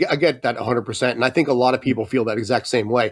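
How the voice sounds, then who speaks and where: A man with an American accent talks at a very fast pace and a medium pitch. Noticeable background noise sits behind him. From US, San Francisco Bay Area. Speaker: sportswriter. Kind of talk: casual interview chat.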